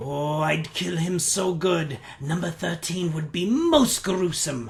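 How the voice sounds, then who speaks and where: Middle-pitched, fairly slow delivery in a put-on character voice. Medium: game stream. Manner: rambling, crude, talks of self by name.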